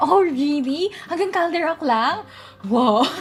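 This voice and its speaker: Over noticeable background noise, a woman talks at a high pitch with lively intonation. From Philippines. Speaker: vtuber streamer. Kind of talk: casual livestream chat. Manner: quiet, soft-spoken.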